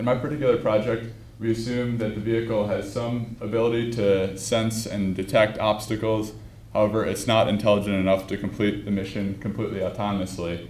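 Amid audible room echo, a man speaks at a fairly quick pace in a fairly low, monotone voice with flat intonation. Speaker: graduate student researcher. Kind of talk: lecture. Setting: stage with audience. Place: hall. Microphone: handheld.

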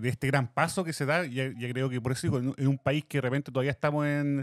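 The speaker has a Chilean accent. The sound is dry with no echo, over a quiet background. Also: man. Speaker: podcast co-host. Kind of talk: casual chat. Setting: studio. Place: studio. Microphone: studio mic.

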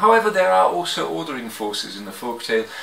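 A man at medium pitch talks with a fairly bright tone, vocal fry and big pitch swings. Audible room echo surrounds the voice.

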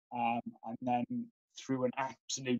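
Against a quiet background, a man speaks with a Welsh accent in a monotone, flat intonation. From Wales. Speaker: former Paralympian and sport development officer; interviewee. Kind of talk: interview. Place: home room. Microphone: video call.

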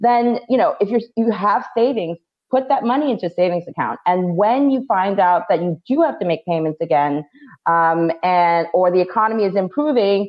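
Against a quiet background, a woman speaks with lively intonation and very even loudness. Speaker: financial education company founder, panel guest. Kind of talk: casual conversational advice. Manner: fast talker. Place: home room. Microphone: video call.

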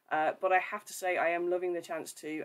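A woman speaks with a West Midlands accent. Her pitch is fairly low. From English West Midlands, near Birmingham. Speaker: church ministry coordinator. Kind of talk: livestream talk with devotional reflection. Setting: Facebook live video stream. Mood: friendly, light humour. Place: home room. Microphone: webcam.

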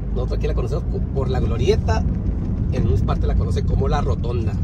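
The speech comes at a very fast pace over loud background noise. The sound is dry with no echo. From Tijuana, Mexico. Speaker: video blogger. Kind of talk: driving vlog narration. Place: car. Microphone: phone near.

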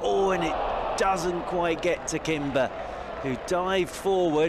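A man talks at a fairly slow pace in a high pitch. Noticeable background noise runs underneath. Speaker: cricket commentator. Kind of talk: live cricket commentary. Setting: commentary box at the ground. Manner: fluent, measured, bursts of excitement on wickets and big shots.

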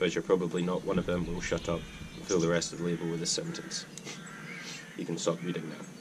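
Noticeable background noise sits behind a man whose voice is very deep and low-pitched. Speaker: outdoor cooking vlogger. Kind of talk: casual vlog chat. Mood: relaxed, jokey. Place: garden. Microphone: camera far.

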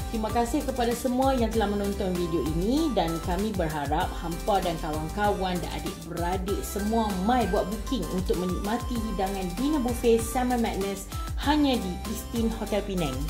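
A woman at a moderate pace with hardly any pauses, clear music in the background. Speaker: food vlogger. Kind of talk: casual vlog chat. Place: hall. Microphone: phone near.

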